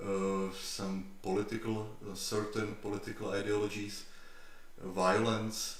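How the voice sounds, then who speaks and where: The speaker goes at a fairly slow pace in a flat, monotone delivery. Room echo is audible and there is noticeable background noise. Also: man, fairly low pitch for a man. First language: not English. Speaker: YouTuber, history channel creator. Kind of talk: live stream Q&A, casual talk. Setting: live stream. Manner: halting, many fillers and repetitions.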